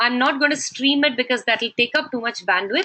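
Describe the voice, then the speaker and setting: The woman's voice is high. She keeps to a moderate pace. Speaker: online course instructor. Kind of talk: webinar lecture. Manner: halting.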